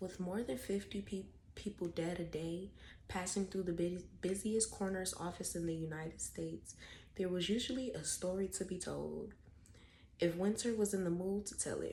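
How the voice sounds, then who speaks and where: The voice is somewhat breathy with a dark, mellow tone. It moves at a moderate pace with fairly even intonation. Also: woman, medium pitch for a woman. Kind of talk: ASMR book reading. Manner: whispered.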